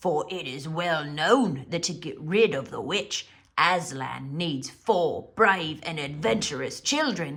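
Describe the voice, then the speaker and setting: The voice is a put-on character voice at a middle pitch. It moves at a fairly slow pace. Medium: read story.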